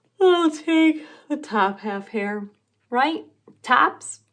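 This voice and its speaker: A put-on character voice, female-sounding and high-pitched, at a very slow pace. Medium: read story. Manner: slow, drowsy.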